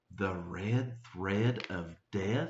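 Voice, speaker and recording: A man quietly performs a put-on character voice at a fairly low pitch. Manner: timid, incredulous.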